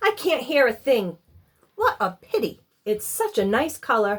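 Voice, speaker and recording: A woman does a put-on character voice, gruff and growling, at a high pitch with very wide swings. Her loudness stays very even and her pace is moderate. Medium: read story.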